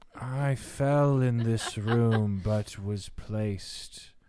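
A man in a put-on character voice talks at a very slow pace with a medium pitch. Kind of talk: archaic, solemn speech. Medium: actual play. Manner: grave, terse.

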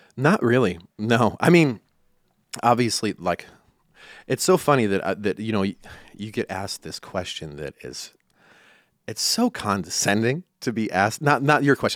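A man with a Midwestern American accent speaks at a moderate pace with lively intonation. The recording is very clean with a silent background and a dry, close sound with no echo. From rural western Iowa. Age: 40s. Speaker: country musician. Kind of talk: interview. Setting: studio.

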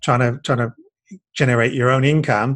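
A man talks at a medium pitch, his voice somewhat breathy. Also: dry, close sound with no echo. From UK. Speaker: business coach. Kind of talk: interview.

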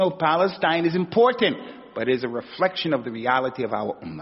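Vocal fry runs through speech with very wide pitch swings. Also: man. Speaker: Islamic teacher. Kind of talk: religious lesson.

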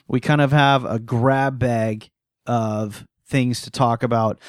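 Recorded very cleanly against a silent background, a man speaks in a normal speaking voice at a medium pitch with fairly even intonation. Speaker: podcast host. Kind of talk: casual chat.

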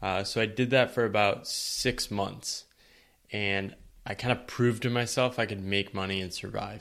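A man's fairly low voice with an American accent, a normal speaking voice, fairly even intonation and a moderate pace. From US Northeast, eastern Connecticut. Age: 30s. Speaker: writer on work and life. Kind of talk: podcast interview.

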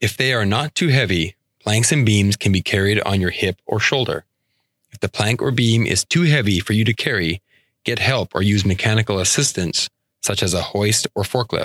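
In a very clean recording with a silent background and a dry, close sound with no echo, a man talks at a moderate pace in an ordinary speaking voice with ordinary pitch variation. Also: fairly low pitch for a man. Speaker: audiobook narrator. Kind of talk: scripted narration, like a 1970s-80s safety training film. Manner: formal, even-paced and earnest, instructional.

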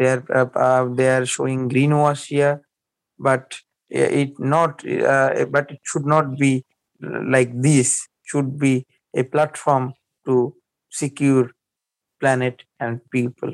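A man with a Bengali accent, medium pitch, monotone flat intonation, a very slow pace, and a dry, close sound with no echo. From Bangladesh (Barisal). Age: young. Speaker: climate activist and journalist. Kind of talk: interview conversation.

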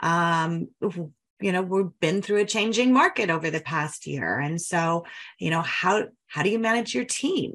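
With an American accent, the speaker talks at a moderate pace with lively intonation and vocal fry. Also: woman. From Denver, Colorado. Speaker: podcast host, mortgage marketing coach. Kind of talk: casual interview.

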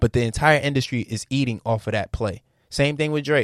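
Speaking at a fairly quick pace with ordinary pitch variation, a man comes through with a dry, close sound and no echo. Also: very clean recording, silent background. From Norfolk, Virginia. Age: 20s. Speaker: podcast host. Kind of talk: casual chat.

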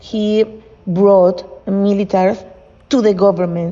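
A woman speaks at a medium pitch in a Spanish accent, her intonation flat and monotone. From Venezuela. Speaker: lawyer and competition volunteer. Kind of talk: interview storytelling.

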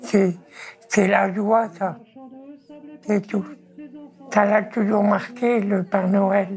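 Over noticeable background noise, a woman at medium pitch talks very slowly with fairly even intonation and long, frequent pauses. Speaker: ill elderly mother of an activist. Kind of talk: interview testimony.

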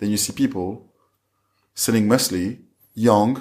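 In a French accent, the speaker talks at a moderate pace with fairly even intonation on a very clean recording with a silent background. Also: man. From France, Paris area. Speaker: fashion entrepreneur. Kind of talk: interview. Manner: halting.

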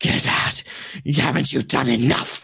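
Using a put-on character voice, a man talks fairly slowly with a raspy, medium-pitched sound. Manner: hostile, warning.

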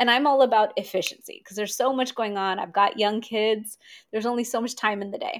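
Very clean, with a silent background, this recording has a woman in a normal speaking voice. She speaks at a fairly quick pace and a fairly high pitch with ordinary pitch variation. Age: 40s. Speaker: Ayurvedic practitioner. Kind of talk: interview.

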